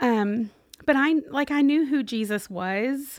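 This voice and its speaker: In a Kentucky accent, the voice moves with ordinary pitch variation on a very clean recording with a silent background. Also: woman. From US South, Owensboro, Kentucky. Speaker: Salvation Army officer. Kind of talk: interview testimony.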